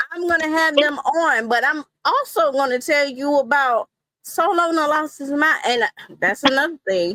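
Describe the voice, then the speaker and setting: In a Southern US accent, a woman uses a raised, projected voice with a high pitch and lively intonation, recorded in a dry, close sound with no echo. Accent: Southern drawl. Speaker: wrestling content creator. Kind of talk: interview.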